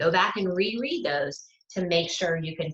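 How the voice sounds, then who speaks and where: A woman with a normal speaking voice and a fairly low pitch talks at a moderate pace with lively intonation. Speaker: student success coach. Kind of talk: live webinar lecture.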